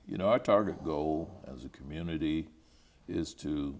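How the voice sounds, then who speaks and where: Speaking at a fairly slow pace, a man with a Midwestern accent uses ordinary pitch variation. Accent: American Midwestern. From Topeka, Kansas. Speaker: retired educator and high school principal. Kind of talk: oral history interview answer.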